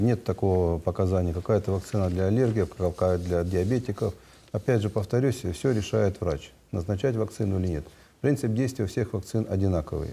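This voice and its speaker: Moderate pace from a man with a fairly low, somewhat breathy voice and ordinary pitch variation. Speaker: public health agency head. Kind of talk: live TV call-in Q&A. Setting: TV studio. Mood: calm, explanatory. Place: studio.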